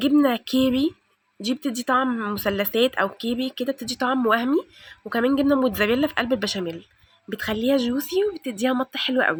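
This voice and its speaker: Recorded with a dry, close sound and no echo, a woman speaks loudly at a high pitch with ordinary pitch variation. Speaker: home cooking and cleaning vlogger. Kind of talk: cooking tutorial. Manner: fast.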